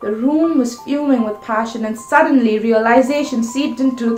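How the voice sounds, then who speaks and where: With fairly even intonation, a woman's high voice is heard amid noticeable background noise. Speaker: spoken word poet. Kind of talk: poetry reading.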